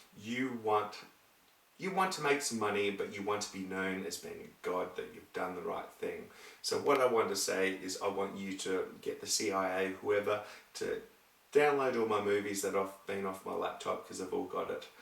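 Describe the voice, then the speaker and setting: A man speaks at a moderate pace. The room echo is audible, and there is noticeable background noise. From Scotland. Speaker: video blogger. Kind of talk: casual monologue. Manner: rambling, halting.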